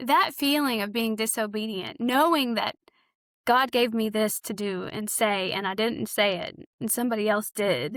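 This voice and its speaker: With a Southern US accent, a woman speaks at a fairly high pitch with ordinary pitch variation. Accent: Southern drawl. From Arkansas. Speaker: author and counselor. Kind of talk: podcast interview. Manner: casual.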